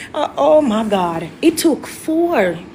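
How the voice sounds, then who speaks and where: A woman speaks in an animated tone with an American accent over noticeable background noise. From Jamaica. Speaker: musical artist. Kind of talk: interview, telling her life story.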